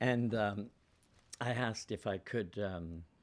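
A man's fairly low voice, an ordinary speaking voice with ordinary pitch variation and a Canadian accent, on a very clean recording with a silent background. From Ontario, Canada (Guelph). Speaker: actor and playwright. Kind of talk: casual chat. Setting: studio.

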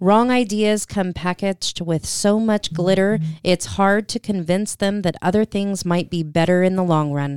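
A woman speaks at a moderate pace and a medium pitch with ordinary pitch variation, an unremarkable speaking voice in a dry, close sound with no echo. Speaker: radio co-host. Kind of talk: devotional reading and prayer.

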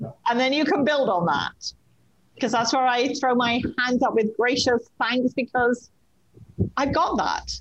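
In an English accent, a woman speaks at a fairly slow pace. Her pitch is high, with ordinary variation. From England. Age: 60s. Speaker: clairvoyant medium. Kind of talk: casual chat.

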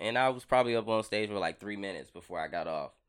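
In a very clean recording with a silent background, a man with an American accent speaks in an unremarkable speaking voice at a medium pitch, with ordinary pitch variation. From US Midwest/South (Alton, St. Louis, Mississippi). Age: 30s. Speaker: stand-up comedian. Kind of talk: casual interview chat. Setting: podcast studio.

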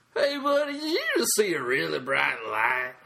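A man uses a put-on character voice pitched high. He speaks at a moderate pace.

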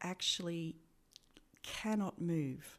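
A woman speaks with an Australian accent at a fairly low pitch, her intonation fairly even. The recording is very clean, with a silent background. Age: 40s. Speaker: healthcare professional. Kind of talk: interview.

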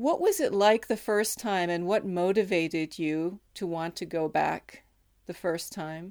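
This is a plain, everyday voice. A woman speaks fairly slowly at medium pitch with ordinary pitch variation. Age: 50s. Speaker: interviewer. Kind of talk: interview conversation. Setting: remote call.

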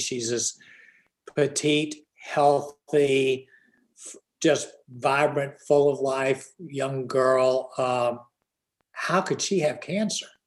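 A man with an American accent speaks at a very slow pace, leaving long, frequent pauses. His pitch is fairly high for a man, with ordinary variation. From Virginia, Richmond. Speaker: author and podcaster. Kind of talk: casual interview chat.

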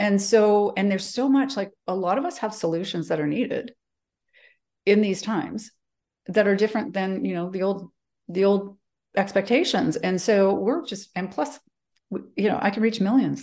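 A woman speaks in a Western Canadian accent at medium pitch. Her tone is dark and mellow, with long, frequent pauses. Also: ordinary pitch variation, moderate pace, quiet background. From Calgary, Canada. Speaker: executive presence coach. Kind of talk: interview.

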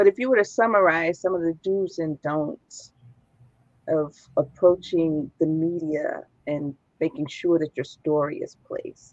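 A woman with an American accent speaks at a fairly slow pace in a normal speaking voice, her fairly low pitch showing ordinary variation, in a dry, close sound with no echo. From Chicago. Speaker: nonprofit founder and host. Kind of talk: interview. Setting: live stream.

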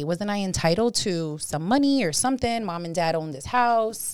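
In a very clean recording with a silent background, a woman with a New York accent sounds animated, her intonation lively. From New York City (Bronx). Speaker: title insurance agent. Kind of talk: interview explaining her field.

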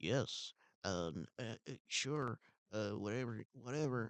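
Mumbling at a very slow pace, a man puts on a character voice at a medium pitch with ordinary pitch variation. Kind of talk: filler-heavy, dismissive. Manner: bored mumbling.

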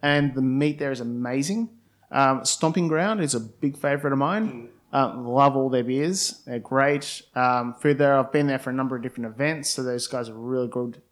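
On a very clean recording with a silent background, a man uses a normal speaking voice at a medium pitch, a moderate pace and ordinary pitch variation. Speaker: blind tasting winner. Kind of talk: casual chat.

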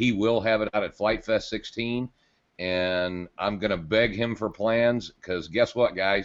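A normal speaking voice from a man, fairly low in pitch, with fairly even intonation and a fairly slow pace. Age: 50s. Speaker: podcast co-host. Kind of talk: casual chat.

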